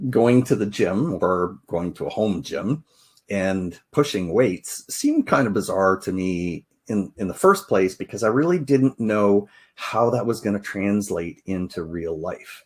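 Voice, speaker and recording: A plain, everyday voice from a man, fairly slow in pace with ordinary pitch variation, on a very clean recording with a silent background. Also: fairly low pitch for a man. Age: 60s. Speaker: podcast host, financial advisor. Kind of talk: podcast intro, personal story. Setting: live video podcast.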